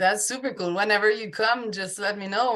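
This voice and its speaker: Bright and sharp in tone, a woman speaks with fairly even intonation. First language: French. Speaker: podcast host, life coach. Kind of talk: interview podcast.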